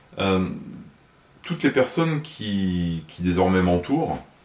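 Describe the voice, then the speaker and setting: Behind the voice there is noticeable background noise. Its intonation is lively. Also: man. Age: 60s. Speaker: municipal election candidate, retired fire officer. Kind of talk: interview. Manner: hesitant, many filler sounds.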